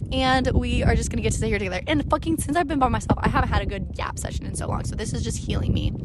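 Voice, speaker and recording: With an American accent and an animated tone, a woman speaks amid audible room echo and noticeable background noise. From US Midwest, Springfield Illinois. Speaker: podcaster, travel vlogger. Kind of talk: casual monologue storytelling. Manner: fast, animated.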